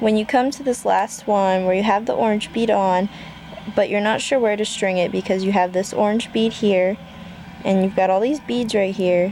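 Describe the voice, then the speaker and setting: Moderate pace and medium pitch from a female voice, noticeable background noise behind her. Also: ordinary pitch variation. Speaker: craft tutorial vlogger. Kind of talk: tutorial. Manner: hesitant, many ums.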